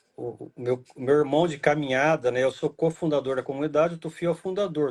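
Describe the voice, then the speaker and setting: Talking at a very fast pace, a man keeps a fairly high pitch and fairly even intonation. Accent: interior São Paulo. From Brazil, interior of São Paulo state. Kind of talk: casual chat.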